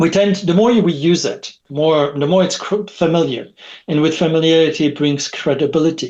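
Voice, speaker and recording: With a French accent, a man speaks at a moderate pace, his fairly high pitch showing ordinary pitch variation. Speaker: technology expert. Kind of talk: podcast interview. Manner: halting.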